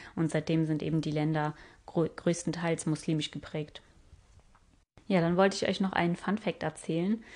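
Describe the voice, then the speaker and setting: A woman with a fairly low pitch speaks at a moderate pace with fairly even intonation. She leaves long, frequent pauses against a quiet background. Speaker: travel podcaster. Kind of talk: solo travel podcast narration.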